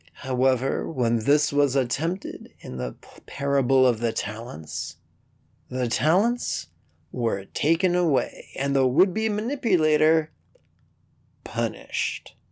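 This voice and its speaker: In a plain, everyday voice, a man speaks at a fairly slow pace with a fairly high pitch. His intonation is lively, and his loudness swings widely. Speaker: Buddhist teacher and podcast host. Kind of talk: poem performed, short spiritual poems read aloud in a teacherly, scripted style.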